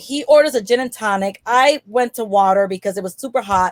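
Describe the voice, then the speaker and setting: An animated woman with an American accent and lively intonation at a moderate pace, in a dry, close sound with no echo. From New York City, Washington Heights. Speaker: comedian. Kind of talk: stand-up storytelling. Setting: stage with audience.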